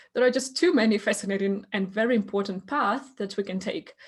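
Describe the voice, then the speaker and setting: The voice is somewhat breathy, with ordinary pitch variation and a very fast pace. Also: woman. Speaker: podcast host and coach. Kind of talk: podcast host conversation.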